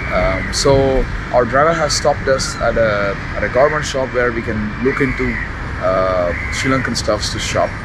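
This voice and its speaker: A man talks with ordinary pitch variation amid loud background noise. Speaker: travel vlogger. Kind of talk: casual vlog chat. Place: street. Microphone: phone near.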